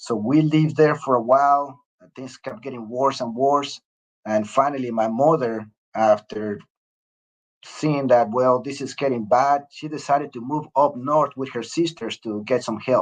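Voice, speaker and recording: The speaker has a strong Mexican accent. Loudness swings widely throughout. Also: man, medium pitch for a man, ordinary pitch variation, moderate pace. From Mexico, Mexico City. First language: Spanish. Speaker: retired Air Force officer. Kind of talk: interview. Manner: hesitant, many fillers.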